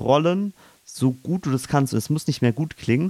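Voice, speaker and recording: Recorded very cleanly against a silent background, a man speaks at a medium pitch, the sound dry and close with no echo. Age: young. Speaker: podcast co-host, amateur stage actor. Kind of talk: casual chat; voice tips tutorial. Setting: in-person studio, facing co-host. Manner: clearly articulated.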